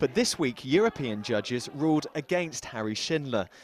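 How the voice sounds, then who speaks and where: A man with a medium-pitched voice talks at a moderate pace over noticeable background noise. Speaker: news reporter. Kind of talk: TV news report voice-over.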